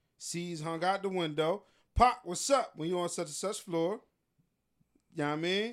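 Long, frequent pauses break up a man's speech at a moderate pace. His pitch is high, with ordinary variation. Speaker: DJ and producer. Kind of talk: casual chat.

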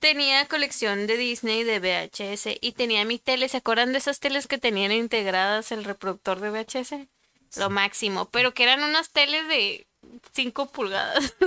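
A woman with a Mexican accent speaks at a moderate pace and a fairly high pitch, with ordinary pitch variation. Her tone is bright and sharp, and the sound is dry and close with no echo. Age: 20s. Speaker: podcast co-host. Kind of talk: casual chat.

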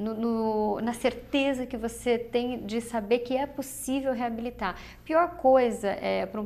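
A woman talks in a plain, everyday voice, fairly high in pitch, with fairly even intonation. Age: 40s. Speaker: physiotherapist. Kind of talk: TV interview.

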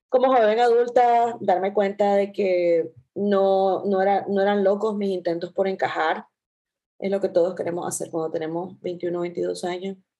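A woman's dark, mellow tone at medium pitch and a fairly slow pace. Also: fairly even intonation. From Latin America. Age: 30s. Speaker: podcast co-host, psychologist. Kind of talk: casual chat.

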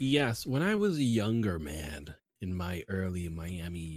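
A man's put-on character voice, very deep and low, breathy, at a fairly slow pace

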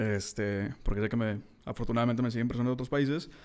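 This man has a plain, everyday voice, pitched medium and moving at a fairly quick pace. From Mexico, Monterrey. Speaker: podcast host, writer. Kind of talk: solo podcast monologue.

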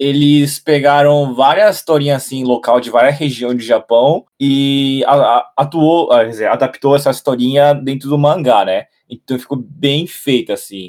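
A man talks in a normal speaking voice at a fairly slow pace. His pitch is fairly high and his intonation fairly even. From Japan, raised in a Brazilian home. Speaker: journalist and YouTuber. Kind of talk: casual chat.

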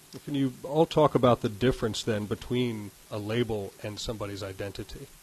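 Fairly quick, somewhat breathy male speech. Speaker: panel moderator, former radio host. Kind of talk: moderating a panel discussion. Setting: live event in a university ballroom with audience.

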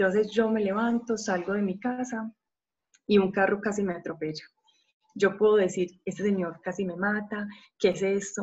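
A woman's medium-pitched, somewhat breathy voice. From Colombia, Medellín. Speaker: psychologist and parenting coach. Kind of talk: podcast talk.

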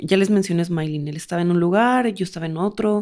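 This woman speaks with a strong Durango accent, at a medium pitch with ordinary pitch variation. The recording is very clean, with a silent background. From Mexico, Durango. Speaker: podcast co-host. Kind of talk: casual chat.

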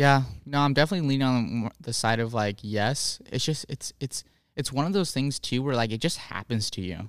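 In a very clean recording with a silent background and a dry, close sound with no echo, a man with a normal speaking voice talks at a moderate pace, medium in pitch, with ordinary pitch variation. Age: 20s. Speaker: podcast co-host. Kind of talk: casual chat.

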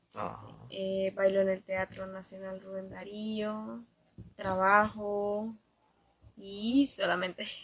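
The delivery is very slow, with fairly even intonation. Loudness swings widely. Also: woman, medium pitch for a woman. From Nicaragua, Ciudad Sandino. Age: 20s. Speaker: dancer. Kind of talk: interview.

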